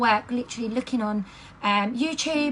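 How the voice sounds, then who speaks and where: Speaking fairly quickly with an English accent, a woman with a fairly high voice comes through over noticeable background noise. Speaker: direct sales team leader. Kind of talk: training talk. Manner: fast; animated.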